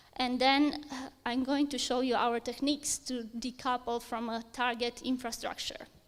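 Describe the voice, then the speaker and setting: A high-pitched woman at a moderate pace, with fairly even intonation and a Romanian accent. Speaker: software engineer. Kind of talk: conference talk.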